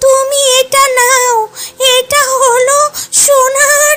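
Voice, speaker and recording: Over music in the background, a woman does a cartoonish character voice, extremely high in pitch, at a very slow pace with fairly even intonation. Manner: warm, calm, advising.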